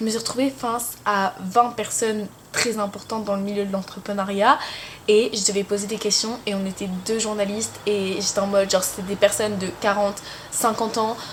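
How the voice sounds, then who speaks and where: Monotone, flat intonation amid noticeable background noise. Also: woman, medium pitch for a woman, moderate pace. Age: 20s. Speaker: student vlogger. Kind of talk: casual vlog talk. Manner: chatty, many fillers. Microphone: camera mic, sound may be poor.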